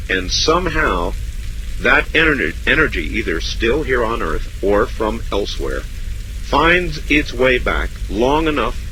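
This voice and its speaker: A man with an American accent talks at a very slow pace. Noticeable background noise is present. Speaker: radio host. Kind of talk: late-night call-in radio show.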